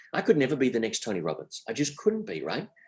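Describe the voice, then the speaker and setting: An Australian accent marks this man's voice. His pitch swings very widely. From Australia, Sydney. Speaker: entrepreneur. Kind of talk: interview.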